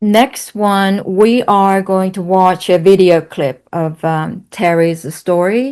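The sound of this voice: A slow, clear and smooth voice with a slightly mellow tone and fairly even intonation. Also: woman, medium pitch for a woman.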